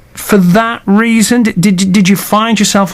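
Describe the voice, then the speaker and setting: A man's high-pitched voice, fairly even in intonation, comes through noticeable background noise. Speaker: radio host. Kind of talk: radio interview. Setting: radio studio. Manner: occasional stumbles.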